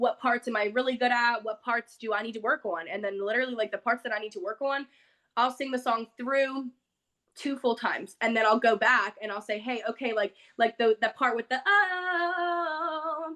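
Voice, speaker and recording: Loud and animated, a woman talks at a moderate pace in a high-pitched voice with a bright, sharp tone and lively intonation. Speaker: singer. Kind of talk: interview.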